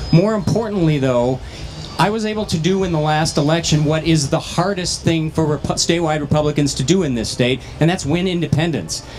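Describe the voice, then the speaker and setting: Faint music plays in the background as the speaker moves at a fairly quick pace with ordinary pitch variation. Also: man, fairly high pitch for a man. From northwestern Minnesota. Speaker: county commissioner, gubernatorial candidate; candidate. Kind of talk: candidate forum. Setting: stage with audience at state fair. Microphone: handheld.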